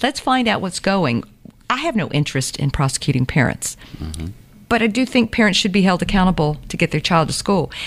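Fairly quick speech from a woman with an American accent, fairly low in pitch, full of very wide pitch swings and vocal fry. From US South, Savannah, Georgia. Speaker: district attorney. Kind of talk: interview. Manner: fast.

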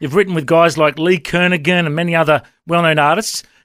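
Speaking at a very fast pace, a man with an Australian accent has a high pitch. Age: 40s. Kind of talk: radio interview.

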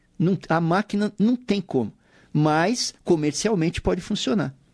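An ordinary speaking voice from a man with lively intonation at a fairly slow pace, in a very clean recording with a silent background and a dry, close sound with no echo. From São Paulo city, Brazil. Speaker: musician and saxophonist, radio show presenter. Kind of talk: casual radio interview. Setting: radio studio.

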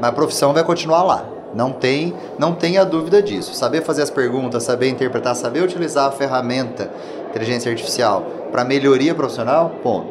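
Over noticeable background noise and audible room echo, a man talks fairly quickly at a fairly high pitch with ordinary pitch variation. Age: 30s. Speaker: president of a regional engineering council. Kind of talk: panel interview.

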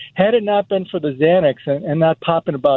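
A man talks in an ordinary speaking voice, fairly high in pitch, at a fairly quick pace with ordinary pitch variation. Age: 60s. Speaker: caller. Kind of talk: phone-in call.

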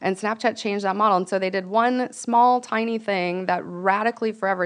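A speaker with an American accent talks at a fairly quick pace in a normal speaking voice. The intonation is fairly even, and the background is quiet. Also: woman. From Venice Beach, California. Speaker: startup founder. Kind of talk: casual interview.

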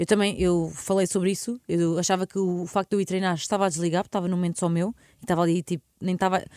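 A woman with a European Portuguese accent, very fast pace, monotone flat intonation and dark, mellow tone, in a dry, close, very clean recording with a silent background. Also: medium pitch for a woman. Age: 30s. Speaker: radio host. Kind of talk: casual chat.

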